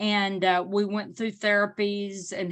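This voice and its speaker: In an Arkansas accent, a woman speaks with fairly even intonation over a quiet background. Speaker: parent advocate. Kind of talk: panel presentation.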